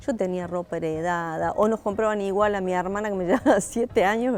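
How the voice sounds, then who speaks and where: Over music in the background, a woman speaks at a fairly quick pace with a medium pitch and ordinary pitch variation. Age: 60s. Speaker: theatre actress. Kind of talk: interview. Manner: hesitant, with frequent fillers.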